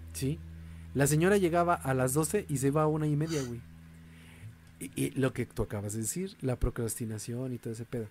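At a fairly quick pace broken by long, frequent pauses, a man speaks at a medium pitch with very wide pitch swings and a somewhat breathy quality. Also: very clean recording, silent background. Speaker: podcast host. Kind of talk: casual chat.

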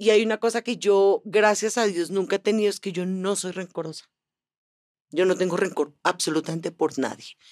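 A woman's normal speaking voice, medium in pitch with ordinary pitch variation, at a moderate pace in a dry, close sound with no echo. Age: 60s. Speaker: actress. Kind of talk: casual chat.

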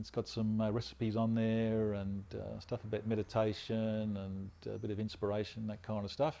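With an Australian accent, a man speaks at a moderate pace with hardly any pauses, in a fairly low, dark, mellow voice and monotone, flat intonation. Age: 50s. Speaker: former police officer, immigration officer, health advocate. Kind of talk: interview, personal story.

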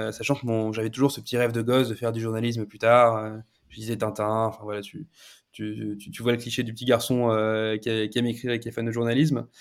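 A man speaks very fast at a medium pitch in a monotone, flat intonation, his loudness swinging widely, on a very clean recording with a silent background. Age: 30s. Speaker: e-commerce partnerships manager. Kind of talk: casual interview. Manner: halting, repeats words.

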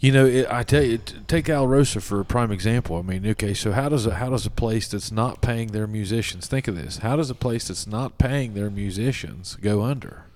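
A man speaks with an American accent in a plain, everyday voice. His medium pitch shows ordinary variation, and he keeps a fairly quick pace with hardly any pauses. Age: 30s. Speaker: podcast co-host. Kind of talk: casual chat.

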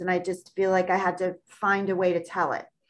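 In an American accent, a woman talks with a bright, sharp tone. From Long Island, New York. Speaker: author. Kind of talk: casual interview.

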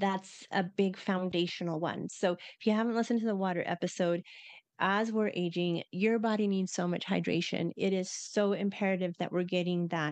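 Her voice is an unremarkable speaking voice, and the woman talks at medium pitch and a moderate pace. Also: quiet background. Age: 50s. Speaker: podcast co-host. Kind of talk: casual chat.

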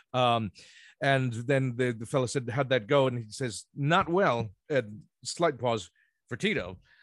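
An ordinary speaking voice, this man has an American accent and a medium pitch, talking at a fairly slow pace with ordinary pitch variation on a very clean recording with a silent background. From New Jersey (Ocean Township). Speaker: law student. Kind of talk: casual chat.

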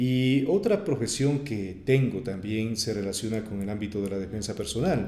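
Audible room echo colors a man's dark, mellow tone. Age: 30s. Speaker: radio announcer. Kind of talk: interview.

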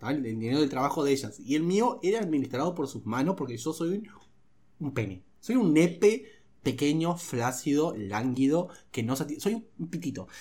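Here a man with a fairly high pitch speaks at a moderate pace. His tone is dark, mellow and somewhat breathy, with very wide pitch swings. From Uruguay, Rivera (north, Brazil border). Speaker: comedy podcast host. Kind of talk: casual chat.

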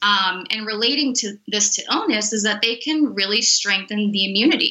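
Using a plain, everyday voice, a woman talks at a moderate pace and fairly high pitch, with ordinary pitch variation. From Miami, Florida. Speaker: sports nutritionist. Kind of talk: interview.

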